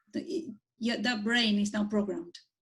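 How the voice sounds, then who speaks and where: The speaker's voice is somewhat breathy and moves at a moderate pace. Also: woman. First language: Spanish. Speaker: architect and urban planner. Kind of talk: conversational interview.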